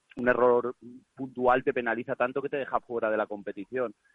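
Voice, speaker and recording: A man speaks at a fairly quick pace with monotone, flat intonation. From Valencia, Spain. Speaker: regional youth football team coach. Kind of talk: casual chat.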